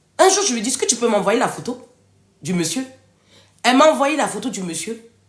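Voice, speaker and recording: High in pitch with very wide swings, a woman speaks at a fairly quick pace. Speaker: author and live-stream host. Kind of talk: live stream talk to viewers. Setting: live video stream. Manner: loud; animated.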